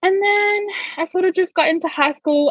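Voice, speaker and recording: At a moderate pace, a woman talks in a dry, close sound with no echo. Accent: Australian. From Australia, Gold Coast (Queensland). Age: 20s. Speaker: digital marketing business owner. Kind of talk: interview. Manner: casual, many fillers.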